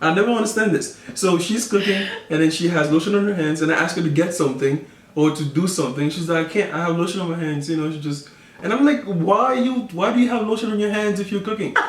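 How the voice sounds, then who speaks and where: A man with a West African accent talks at a very fast pace and high pitch with lively intonation, amid noticeable background noise and audible room echo. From Ivory Coast, raised in the Bronx. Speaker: vlogger's husband. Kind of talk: casual chat.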